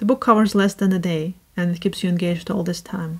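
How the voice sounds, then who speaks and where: Against a quiet background, a woman talks at a medium pitch with fairly even intonation and a somewhat breathy quality. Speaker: book reviewer. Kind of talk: casual talk to camera. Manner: robotic, scripted. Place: home room.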